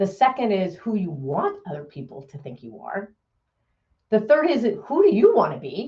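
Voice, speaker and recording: With a dark, mellow tone and vocal fry, a woman speaks at a moderate pace, her medium pitch swinging very widely. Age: 60s. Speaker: motivational speaker. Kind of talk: keynote talk.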